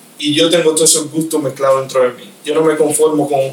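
A man speaks at a fairly quick pace and a fairly high pitch. Noticeable background noise runs underneath. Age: 20s. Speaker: magician. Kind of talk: casual interview. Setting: host's office.

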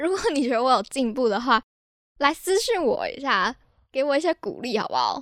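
Talking at a fairly quick pace, a woman with a high pitch moves through very wide pitch swings. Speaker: podcast host. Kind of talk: casual solo podcast talk. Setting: home recording.

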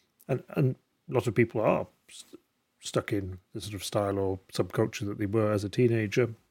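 A man with an ordinary speaking voice talks fairly quickly at fairly low pitch, with fairly even intonation and big swings in loudness, in a very clean, dry, close recording with no echo and a silent background. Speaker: podcast host. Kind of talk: casual interview.

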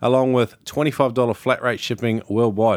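A man with an Australian accent talks at a moderate pace and medium pitch. The recording is very clean, with a silent background. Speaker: podcast host. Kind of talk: casual interview.

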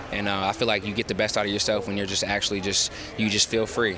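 Over noticeable background noise, a man with a fairly low pitch and an American accent talks at a very fast pace. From Georgia, US South. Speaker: football player. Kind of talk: interview. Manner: halting.

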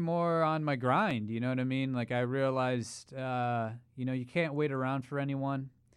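He has a plain, everyday voice at medium pitch, with ordinary pitch variation. His pace is moderate, on a very clean recording with a silent background. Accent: American. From Ohio. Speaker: social media creator. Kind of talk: casual chat.

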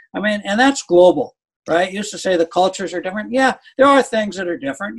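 The recording has a dry, close sound with no echo as a man speaks at a high pitch. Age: 70s. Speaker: business leader and author. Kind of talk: casual interview.

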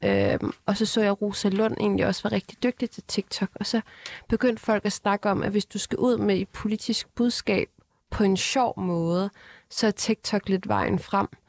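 Fairly even intonation at a fairly slow pace, on a very clean recording with a silent background. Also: woman, medium pitch for a woman, dry, close sound with no echo. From North Zealand, Denmark. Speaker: parliamentary candidate. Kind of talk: panel discussion. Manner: hesitant, many fillers.

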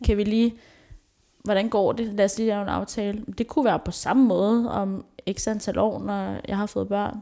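A woman speaks at a medium pitch. Her pace is moderate and her intonation monotone and flat. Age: 20s. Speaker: social educator. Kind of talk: casual chat.

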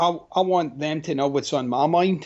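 With a Glaswegian accent, a man talks at a fairly high pitch with ordinary pitch variation. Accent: Glaswegian Scottish. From Scotland, Glasgow. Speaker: life coach and author. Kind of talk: interview conversation. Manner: animated.

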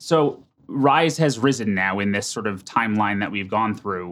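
A man with a normal speaking voice, medium in pitch, with an American accent and ordinary pitch variation. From New Jersey, US. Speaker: podcast host. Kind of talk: interview. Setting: studio.

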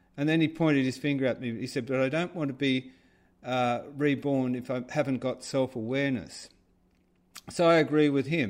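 Against a quiet background, a man talks with an Australian accent. His pitch is medium and his intonation fairly even. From Australia, Sydney (Rockdale). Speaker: artist and filmmaker. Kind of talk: interview. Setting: remote call.

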